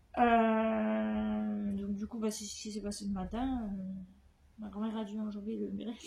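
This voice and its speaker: Fairly slow speech from a woman, amid audible room echo and noticeable background noise. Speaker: vlogger. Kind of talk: casual vlog talk. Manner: halting.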